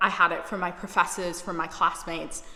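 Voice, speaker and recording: Noticeable background noise sits behind a woman speaking with a British accent. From United Kingdom. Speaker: YouTuber, recent graduate. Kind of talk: personal vlog monologue.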